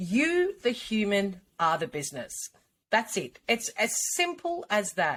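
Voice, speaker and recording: A woman at a fairly slow pace with an Australian accent. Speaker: personal brand coach. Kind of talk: podcast interview.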